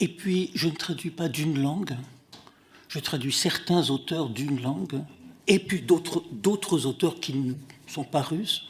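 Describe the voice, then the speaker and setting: The speaker goes at a very slow pace with long, frequent pauses and ordinary pitch variation. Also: man, fairly high pitch for a man. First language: Russian (speaking French). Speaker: literary translator. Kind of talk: testimony at a hearing. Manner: halting, many hesitations.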